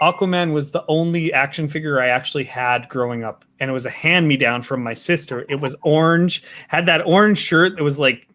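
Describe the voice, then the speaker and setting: A man talks at a fairly quick pace with hardly any pauses, in a Canadian prairie accent. His voice sits fairly high in pitch, with ordinary pitch variation. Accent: Canadian prairie accent, noticeable. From Saskatchewan, Canada. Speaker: talk show host. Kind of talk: casual interview.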